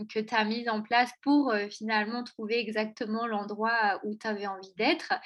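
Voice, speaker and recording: A woman's normal speaking voice, fairly high-pitched, at a fairly slow pace. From France, Auvergne. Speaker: podcast host. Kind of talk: interview.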